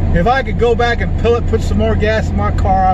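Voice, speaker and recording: Loud background noise surrounds a man's voice. There is no echo, just a dry sound. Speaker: vlogger driving. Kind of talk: casual vlog chat. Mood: cheerful, animated. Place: car. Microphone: phone near.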